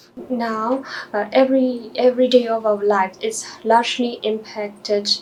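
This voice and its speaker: Noticeable background noise sits under a woman's fairly high voice. She keeps a moderate pace with monotone, flat intonation. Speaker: doctor taking a mock English exam. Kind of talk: mock exam interview answers. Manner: hesitant with fillers.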